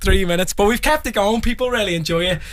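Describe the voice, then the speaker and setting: Speech comes at a very fast pace against noticeable background noise. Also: man. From Liverpool, England. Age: 20s. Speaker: singer. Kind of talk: casual chat. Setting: radio studio.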